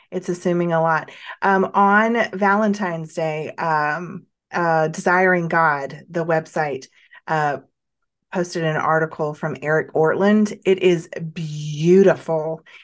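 The voice moves at a very slow pace with fairly even intonation against a quiet background. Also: woman, fairly low pitch for a woman. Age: 40s. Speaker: podcast host. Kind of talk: casual interview chat.

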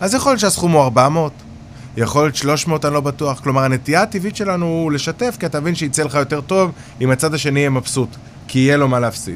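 Very fast, a man talks at a fairly high pitch with ordinary pitch variation. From Israel, Haifa bay suburbs (Krayot). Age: 40s. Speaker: real estate developer. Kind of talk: interview.

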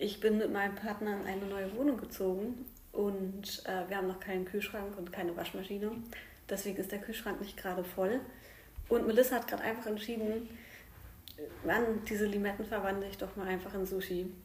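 A woman speaks at medium pitch and a fairly quick pace, yet with long, frequent pauses. Her intonation is monotone and flat, and the room gives audible echo. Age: 30s. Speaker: podcast host, primary school worker. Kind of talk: casual chat. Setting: at home at the dining table.

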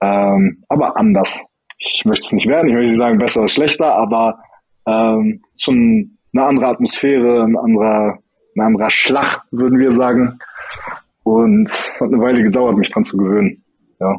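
A man speaks at medium pitch and a moderate pace, with very even loudness. He leaves long, frequent pauses. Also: ordinary pitch variation. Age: 20s. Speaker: former judo athlete, incoming state coach. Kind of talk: interview.

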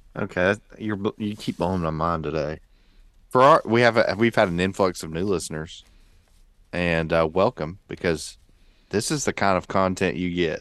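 With a Southern US accent, a man speaks at a moderate pace in a very deep, low pitch with ordinary pitch variation, on a very clean recording with a silent background. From Georgia, US. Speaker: pastor and podcast co-host. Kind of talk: casual chat.

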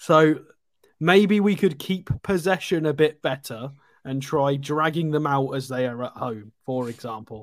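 Speaking fairly slowly, a man with an ordinary speaking voice has a fairly high pitch and ordinary pitch variation. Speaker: football pundit. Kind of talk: casual chat. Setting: live online stream. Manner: blunt.

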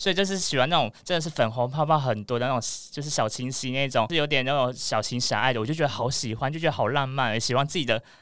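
Hardly pausing at all, a man rattles along at a very fast pace, his medium pitch showing ordinary variation. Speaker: podcast guest, male BL fan. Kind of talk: casual chat. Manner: articulate.

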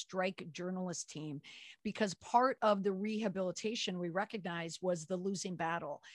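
A woman speaks in an ordinary speaking voice with an American accent. Her pitch is medium, her pace moderate and her intonation fairly even. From US Midwest, Twin Cities (Minnesota). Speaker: crisis communications consultant and author. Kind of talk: interview.

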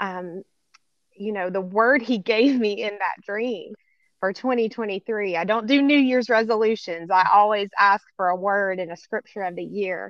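At a fairly slow pace, an unremarkable speaking voice talks with ordinary pitch variation. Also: woman, medium pitch for a woman. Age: 50s. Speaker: trafficking survivor and advocate. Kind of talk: testimony.

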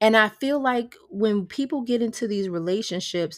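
A woman talks at a moderate speed in an unremarkable speaking voice with ordinary pitch movement, on a very clean recording with a silent background. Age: 30s. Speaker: spiritual wellness coach and podcast host. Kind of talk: casual solo monologue.

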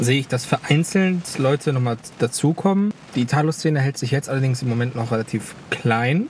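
There is noticeable background noise behind this man. His medium-pitched voice moves at a moderate pace with ordinary pitch variation. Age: 20s. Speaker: car enthusiast. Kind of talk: casual chat.

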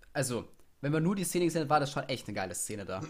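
A man speaks with vocal fry at a fairly high pitch. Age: young. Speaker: podcast co-host. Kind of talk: casual chat.

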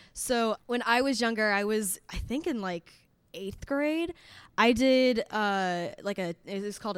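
A woman speaks in a plain, everyday voice at medium pitch, with an American accent and lively intonation. Her pace is fairly slow, and the recording is very clean with a silent background. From Indiana. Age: 20s. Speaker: singer-songwriter, college student. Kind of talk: panel discussion. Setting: stage with audience.

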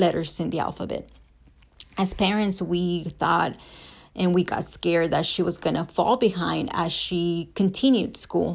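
Speaking with a Spanish accent, a woman uses a fairly low pitch with ordinary pitch variation and vocal fry, at a moderate pace, on a very clean recording with a silent background. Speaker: student. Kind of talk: class assignment podcast, reading prepared remarks. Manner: hesitant, with frequent fillers.

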